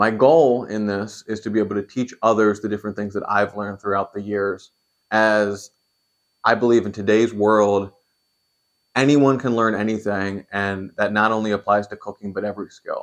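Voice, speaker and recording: A man with an American accent has a plain, everyday voice, speaking at a moderate pace and fairly low pitch with fairly even intonation. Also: quiet background. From Pennsylvania, York. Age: 20s. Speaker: cooking YouTuber. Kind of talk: channel introduction monologue.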